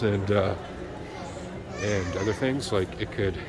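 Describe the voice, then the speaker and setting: Crowd noise fills the background, along with audible room echo. A man speaks with ordinary pitch variation. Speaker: vlogger. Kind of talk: personal video update. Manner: casual, halting.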